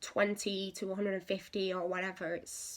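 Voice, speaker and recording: A woman speaks with an English accent. Her pace is fairly slow. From England. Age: 20s. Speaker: patient sharing medical experience. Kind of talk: casual talk to camera. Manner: hesitant, with frequent fillers.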